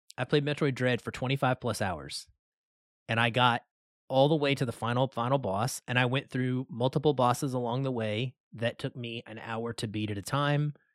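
On a very clean recording with a silent background, a man talks at a moderate pace in a normal speaking voice of medium pitch. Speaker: video game podcast host. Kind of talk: casual chat.

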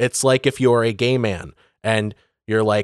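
A man with a normal speaking voice, medium pitch and an American accent, at a fairly slow pace, in a dry, close recording with no echo and a very clean, silent background. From northern Michigan (Benzie County). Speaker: podcast co-host. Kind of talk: casual chat.

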